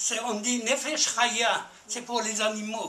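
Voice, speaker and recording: A raised, projected voice speaks at a very slow pace amid audible room echo and noticeable background noise. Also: man. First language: Spanish (speaking French). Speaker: audience member, war veteran. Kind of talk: audience question. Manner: halting.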